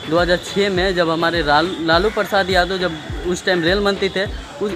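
The delivery is monotone, with flat intonation at a moderate pace. Music plays in the background. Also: man. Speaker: travel vlogger. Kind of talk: casual vlog chat. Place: station. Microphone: phone near.

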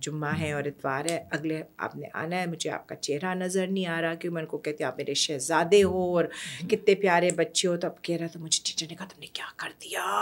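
A woman speaks with a Persian accent at a moderate pace. Her pitch is fairly low and her intonation fairly even. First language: Persian (speaking Hindi). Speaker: storyteller and educator; podcast guest, educator, storyteller. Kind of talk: interview conversation. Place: studio. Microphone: studio mic.

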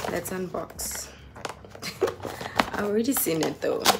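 The speaker is a woman. Noticeable background noise runs underneath her. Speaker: vlogger. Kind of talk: casual vlog chat. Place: home room. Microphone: phone near.

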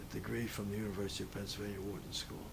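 Noticeable background noise sits behind a man speaking with an American accent. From Philadelphia, US Northeast. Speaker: World War II veteran. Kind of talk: oral-history interview, recalling life story. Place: home room.

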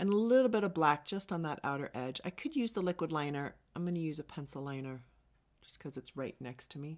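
Over a quiet background, a woman with a very deep, low voice talks at a very fast pace. Her intonation is lively, with big swings in loudness. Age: 50s. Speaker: makeup artist and beauty vlogger; beauty vlogger. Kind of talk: makeup tutorial. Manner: animated.

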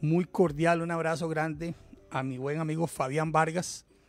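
Over faint music in the background, a man speaks at a very slow pace, and the sound is dry with no echo. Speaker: podcast host. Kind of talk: podcast host chat. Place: studio. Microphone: studio mic.

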